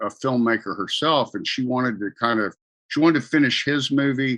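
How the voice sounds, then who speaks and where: A man's bright, sharp tone, with a dry, close sound, no echo and a quiet background. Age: 60s. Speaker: religious parody founder and radio broadcaster. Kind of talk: casual interview chat. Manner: halting, repeats words.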